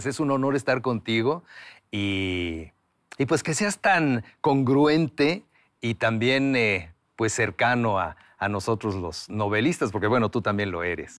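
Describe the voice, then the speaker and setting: A man speaks very slowly at a medium pitch, with lively intonation. The recording is very clean and the background silent. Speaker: writer and voice actor. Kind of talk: interview answer.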